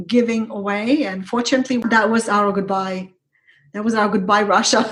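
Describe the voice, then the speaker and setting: A woman's voice at medium pitch comes across somewhat breathy. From Ukraine. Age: 40s. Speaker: business strategist. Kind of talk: interview.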